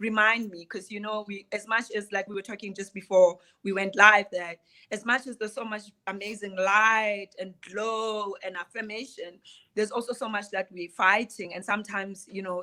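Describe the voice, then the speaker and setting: A bright, sharp tone comes with a South African accent. The pace is moderate, and the loudness swings a lot. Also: woman, medium pitch for a woman. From South Africa, Qwaqwa (Free State). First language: Sotho. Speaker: playwright and theater director. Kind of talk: casual chat. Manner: animated.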